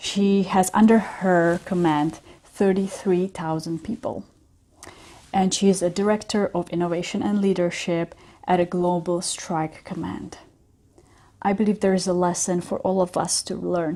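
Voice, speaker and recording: A woman with a European accent speaks in a dark, mellow tone. Her intonation is monotone and flat, on a very clean recording with a silent background. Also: medium pitch for a woman, moderate pace. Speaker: business coach. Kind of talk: casual talk to camera.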